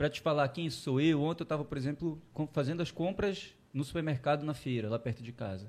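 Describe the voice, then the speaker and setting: In a very clean recording with a silent background, a man with a plain, everyday voice speaks fairly quickly in a fairly high pitch with ordinary pitch variation. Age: 30s. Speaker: geography professor and political candidate. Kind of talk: interview. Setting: studio.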